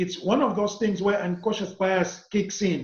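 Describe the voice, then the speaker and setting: At a moderate pace, a man with a non-native accent speaks in a high voice. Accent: foreign. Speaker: corporate trainer and author. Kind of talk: interview.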